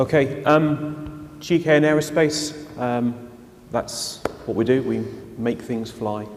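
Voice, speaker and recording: Through noticeable background noise, the speaker goes at a very slow pace with fairly even intonation. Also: man, fairly high pitch for a man. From Shetland, Scotland. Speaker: aerospace engineer, industry panelist. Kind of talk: panel presentation.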